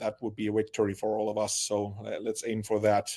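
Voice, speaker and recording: A man with a Finnish accent speaks at a fairly low pitch, his tone dark and mellow. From Finland. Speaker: marketing creative presenter. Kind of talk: webinar presentation.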